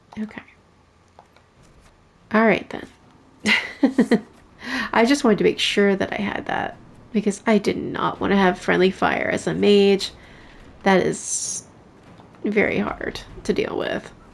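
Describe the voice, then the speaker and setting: Soft-spoken, a woman talks very slowly with long, frequent pauses and vocal fry. Her pitch is medium, with ordinary variation. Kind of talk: casual gameplay commentary.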